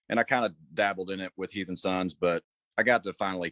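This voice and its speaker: A man with a Southern US accent, very deep and low in pitch, at a very fast pace, on a very clean recording with a silent background and a dry, close sound with no echo. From north Georgia, US South. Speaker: rock singer. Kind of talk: interview.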